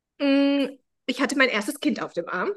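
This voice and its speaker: A woman's high-pitched voice. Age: 40s. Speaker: founder of a self-help method. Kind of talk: interview. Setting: video call.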